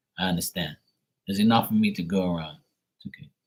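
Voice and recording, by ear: A man's fast, low-pitched speech with a slightly mellow tone and ordinary pitch variation.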